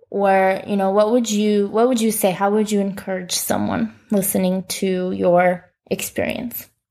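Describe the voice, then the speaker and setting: In an Upper Midwest accent, a woman with a medium pitch talks at a fairly slow pace with hardly any pauses and monotone, flat intonation. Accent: Upper Midwest American. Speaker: missionary podcast host. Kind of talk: casual interview chat.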